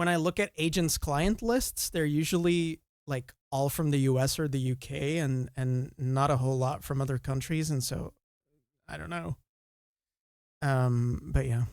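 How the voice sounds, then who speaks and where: In an American accent, a man with a fairly high pitch speaks at a fairly slow pace with ordinary pitch variation, on a very clean recording over a silent background. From Belgium, East Flanders. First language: Dutch. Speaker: author and streamer. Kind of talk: casual chat. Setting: live stream.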